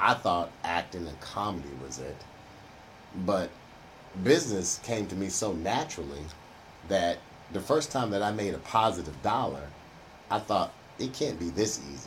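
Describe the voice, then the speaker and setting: Very deep and low, a man's voice with vocal fry swings very widely in pitch and leaves long, frequent pauses. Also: moderate pace. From Houston, Texas (Third Ward). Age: old. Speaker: retired businessman and entrepreneur. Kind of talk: interview.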